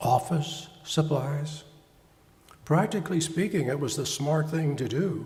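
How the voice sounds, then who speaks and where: Somewhat breathy and fairly high-pitched, a man speaks at a moderate pace with audible room echo. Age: 70s. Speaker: pastor and psychotherapist. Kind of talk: sermon.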